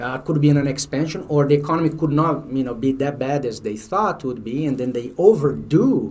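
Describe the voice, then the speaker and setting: Man with a Brazilian Portuguese accent, fairly high-pitched, somewhat breathy, at a fairly quick pace with hardly any pauses and ordinary pitch variation, plus audible room echo. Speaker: finance exam prep instructor. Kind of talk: lecture. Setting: livestream. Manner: halting.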